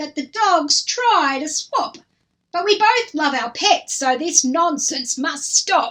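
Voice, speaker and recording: Lively intonation runs through a woman's put-on character voice, pitched extremely high. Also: fairly slow pace. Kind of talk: children's story reading. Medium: read story.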